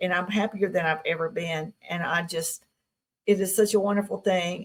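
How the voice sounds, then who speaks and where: Speaking at a moderate pace with a Southern US accent, a woman uses a medium pitch and a monotone, flat intonation, her voice somewhat breathy. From Tennessee. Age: 60s. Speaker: UFO contactee. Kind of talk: interview.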